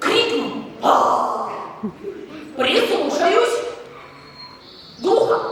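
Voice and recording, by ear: With strong room echo, a woman performs a put-on character voice at an extremely high pitch, fairly bright in tone, with lively intonation and a very slow pace.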